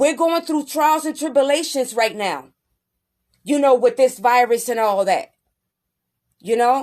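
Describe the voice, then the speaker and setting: A woman's high-pitched voice at a fairly slow pace, with ordinary pitch variation, long and frequent pauses, and a quiet background. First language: Spanish. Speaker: livestream host. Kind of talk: live stream talk. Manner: earnest, repetitive.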